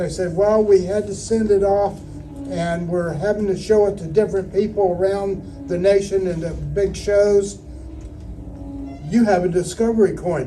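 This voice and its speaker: With music in the background, a man with an American accent and a high voice speaks at a moderate pace in a monotone, flat intonation. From Houston, Texas, USA. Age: 70s. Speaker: coin auctioneer and coin collector. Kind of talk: interview answer, casual storytelling.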